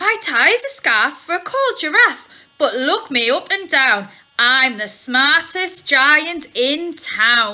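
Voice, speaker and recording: A woman in a put-on character voice, high-pitched, with very wide pitch swings at a very slow pace. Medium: read story.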